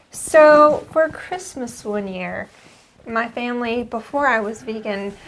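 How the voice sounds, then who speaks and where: Speaking at a very slow pace, a woman uses a high pitch and lively intonation. Noticeable background noise can be heard. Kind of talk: casual podcast conversation.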